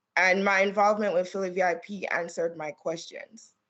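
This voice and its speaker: This woman speaks in a Caribbean accent at a moderate pace. Her pitch sits at a medium level. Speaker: trial attorney. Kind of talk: testimony. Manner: formal.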